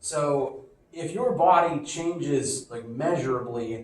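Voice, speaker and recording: A man's lively intonation amid audible room echo. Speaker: physics teacher. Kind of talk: lecture. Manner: casual, conversational.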